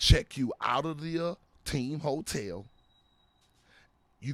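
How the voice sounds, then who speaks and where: Animated in tone, a man with a Florida accent talks with ordinary pitch variation. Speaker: former pro football player. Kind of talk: casual interview storytelling.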